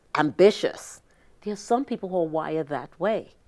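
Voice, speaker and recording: A woman speaks in a plain, everyday voice at medium pitch and a moderate pace, with lively intonation, on a very clean recording with a silent background. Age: 60s. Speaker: business consultant. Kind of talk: interview.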